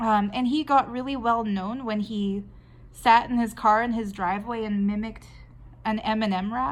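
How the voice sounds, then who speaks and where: A woman with a Canadian accent and an unremarkable speaking voice talks at a moderate pace, her pitch fairly high and her intonation fairly even. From Canada. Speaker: artist and video blogger. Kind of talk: casual talk while drawing. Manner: conversational, with fillers and restarts.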